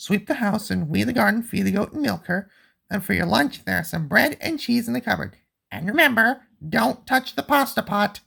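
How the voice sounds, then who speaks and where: A man's high-pitched put-on character voice at a moderate pace. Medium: read story.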